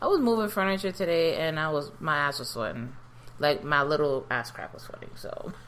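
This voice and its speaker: With a New York accent, a woman with a very deep, low pitch speaks with lively intonation and big swings in loudness. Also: fairly quick pace. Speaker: podcast co-host. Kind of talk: casual chat. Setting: home recording at kitchen table.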